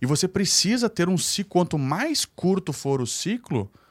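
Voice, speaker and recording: Against a very clean, silent background, a man speaks at a moderate pace with very wide pitch swings in a dry, close sound with no echo. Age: 30s. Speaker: real estate developer and teacher. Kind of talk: podcast interview.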